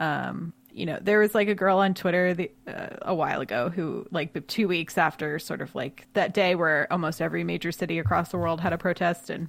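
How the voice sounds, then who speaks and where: Her fairly low voice carries vocal fry and fairly even intonation as the woman talks at a fairly quick pace on a very clean recording with a silent background. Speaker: podcast producer. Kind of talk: casual chat.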